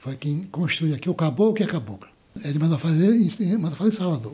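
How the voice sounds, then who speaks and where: A man's high, dark, mellow voice at a fairly quick pace. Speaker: community elder. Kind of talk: interview. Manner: halting.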